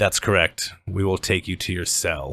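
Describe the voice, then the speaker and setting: A man's put-on character voice, raspy and very deep, at a moderate pace over a very clean recording with a silent background. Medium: actual play. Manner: smug, authoritative.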